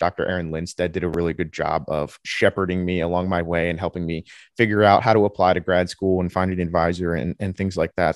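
A man with an American accent, a very deep, low pitch and a fairly quick pace, on a very clean recording with a silent background and a dry, close sound with no echo. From New Jersey. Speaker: graduate student researcher. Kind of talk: interview.

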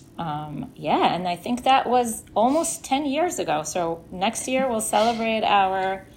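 With noticeable background noise behind her, a woman speaks fairly slowly and with hardly any pauses, her fairly high voice swinging very widely in pitch. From Israel. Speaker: production designer. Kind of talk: interview.

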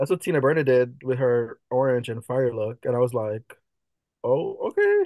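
Speaking in a Jamaican accent, a man goes at a fairly slow pace with long, frequent pauses, the sound dry and close with no echo. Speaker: drag performer. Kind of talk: casual chat. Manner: animated.

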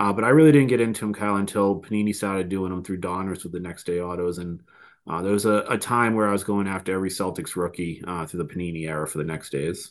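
A man with a Boston accent, very deep and low in pitch, at a very fast pace over a quiet background. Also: ordinary pitch variation. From Boston, US Northeast. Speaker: card collector guest. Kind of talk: casual chat.

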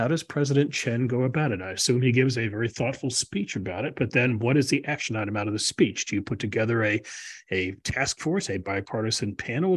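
Lively intonation marks this very fast, somewhat breathy voice with an American accent. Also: man. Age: 60s. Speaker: podcast host and policy fellow. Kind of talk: interview.

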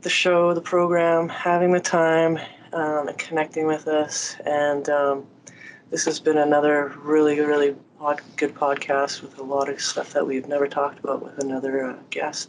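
A normal speaking voice at a fairly slow pace. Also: woman. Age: 40s. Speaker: podcast host. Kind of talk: casual chat.

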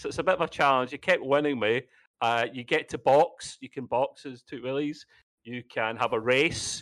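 A normal speaking voice with big swings in loudness, dry and close with no echo, over a quiet background. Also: man, fairly high pitch for a man, ordinary pitch variation, moderate pace. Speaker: gamer. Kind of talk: casual chat.

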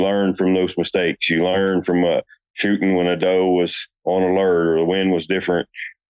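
A man talks at a moderate pace with an American accent. His pitch is very deep and low. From West Virginia. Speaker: hunting guide. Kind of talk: casual interview chat.

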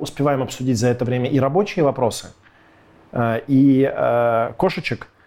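A man's fairly high, dark and mellow voice at a fairly slow pace. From Russia, Irkutsk then Moscow from age 12. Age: 30s. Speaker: tech company co-founder and CTO. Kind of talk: casual interview chat. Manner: animated.

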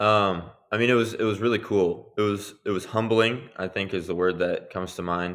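The talker is a man with fairly even intonation. He moves at a moderate speed. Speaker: professional basketball player. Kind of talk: interview.

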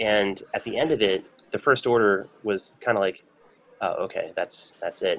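A man with a fairly low pitch talks in a plain, everyday voice at a moderate pace. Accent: American. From Michigan. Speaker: brewery sales representative. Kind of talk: casual interview.

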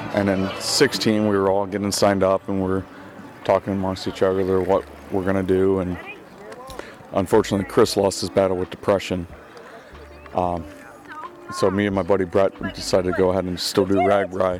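Delivery is fairly quick, with monotone, flat intonation and long, frequent pauses. Background noise is noticeable. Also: man, very deep, low pitch for a man. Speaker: volunteer cyclist. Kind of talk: casual interview. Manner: humorous, laid-back.

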